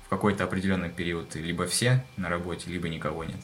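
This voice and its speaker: The man's pitch is very deep and low, with noticeable background noise behind him. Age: 20s. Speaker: military doctor. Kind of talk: casual chat. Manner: halting.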